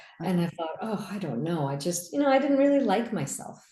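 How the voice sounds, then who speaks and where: Her voice has a dark, mellow tone and sounds somewhat breathy. Audible room echo surrounds this woman. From US, raised in Indian immigrant family. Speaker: physician and business coach. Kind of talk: interview. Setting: video call.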